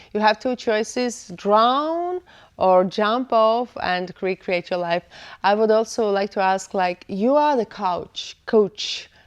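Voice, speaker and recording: A woman with a non-native accent talks at a very slow pace. Her intonation is lively, and the background is quiet. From Eastern Europe, former Soviet Union. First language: not English. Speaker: podcast host. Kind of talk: podcast interview. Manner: halting.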